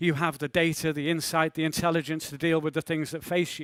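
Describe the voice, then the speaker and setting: Fairly high male voice in a Liverpool accent, monotone and flat, dry and close with no echo, on a very clean recording with a silent background. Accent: Liverpool accent, noticeable. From northern England, Liverpool. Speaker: maritime security speaker. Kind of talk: conference talk.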